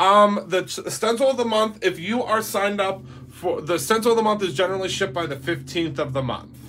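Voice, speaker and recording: Fairly quick, lively speech in an American accent with hardly any pauses, against noticeable background noise. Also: man, high pitch for a man. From Pittsburgh, Pennsylvania. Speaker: craft stencil seller. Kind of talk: tutorial.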